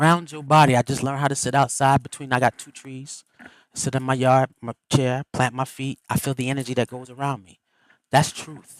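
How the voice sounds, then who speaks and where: In a dry, close sound with no echo, a man at medium pitch speaks with big swings in loudness. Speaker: livestream host and spiritual speaker. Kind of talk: motivational talk. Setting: live stream. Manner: fast; animated.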